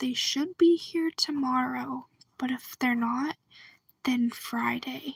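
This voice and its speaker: Speech here is delivered very slowly. The speaker is soft-spoken. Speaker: video blogger. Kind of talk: casual chat.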